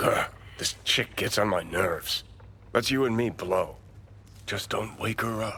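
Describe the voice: A man puts on a character voice with a bright, sharp tone and fairly low pitch. He speaks at a slow pace with ordinary pitch variation.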